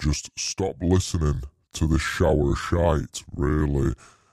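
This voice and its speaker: Music plays in the background as a man speaks with ordinary pitch variation. The sound is dry and close, with no echo. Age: 30s. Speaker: podcast co-host. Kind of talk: casual, crude British slang. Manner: rambling, jokey.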